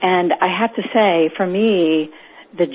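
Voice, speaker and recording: A woman talks very slowly in a fairly low voice. Noticeable background noise runs underneath. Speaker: peacebuilding organization founder. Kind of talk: interview. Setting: phone call.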